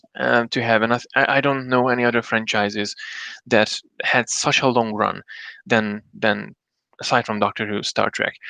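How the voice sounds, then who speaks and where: A man's medium-pitched voice, bright and sharp in tone, flat and monotone in intonation, with a dry, close sound and no echo. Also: quiet background. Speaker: solo live streamer and podcaster. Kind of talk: casual live stream talk. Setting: live stream. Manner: fast; halting, many fillers and restarts.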